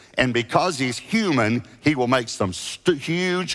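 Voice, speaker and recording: With music in the background, a man talks with very wide pitch swings. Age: 60s. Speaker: megachurch pastor. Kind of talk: sermon; altar-call invitation to repent, pastoral and intimate. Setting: church stage with congregation, multiple campuses online. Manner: conversational and gently earnest; halting with frequent restarts and repeated words.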